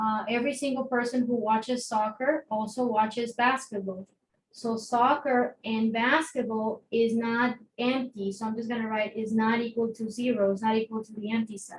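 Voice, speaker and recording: With a non-native accent, a woman speaks at a moderate pace and a fairly high pitch. Her intonation is monotone and flat, but her loudness swings a lot. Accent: non-native accent, noticeable. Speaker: math teacher. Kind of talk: lecture. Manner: conversational, with many fillers.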